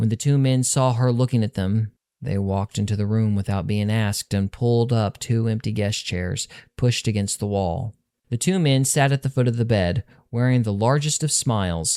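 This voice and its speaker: A man with a normal speaking voice at medium pitch, ordinary pitch variation and a moderate pace, in a very clean recording with a silent background and a dry, close sound with no echo. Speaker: author reading his own novel. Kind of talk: audiobook narration of urban fantasy fiction.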